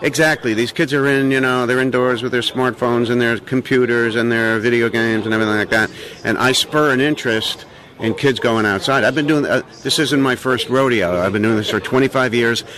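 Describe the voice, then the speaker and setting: This man's pitch sits in the medium range, and his loudness stays very even. He talks at a fairly quick pace over noticeable background noise. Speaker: raptor show presenter. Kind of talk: interview. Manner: showman, enthusiastic.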